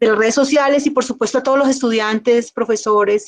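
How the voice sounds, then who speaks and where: At a very fast pace, a woman with a fairly high voice keeps her intonation fairly even, and the sound is dry and close with no echo. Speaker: government environmental official, speaker. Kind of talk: closing remarks after lecture.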